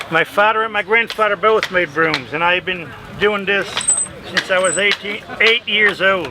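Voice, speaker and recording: A man's raised, projected voice, high in pitch with ordinary variation, at a moderate pace over noticeable background noise. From South Dakota, around Mitchell, German-speaking home. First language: German. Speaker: broom maker, craft demonstrator. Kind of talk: craft demonstration and interview.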